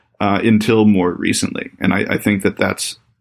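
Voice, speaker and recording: A man with a General American accent at a moderate pace. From Colorado (Boulder), US. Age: 30s. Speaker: China policy researcher. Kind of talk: interview conversation.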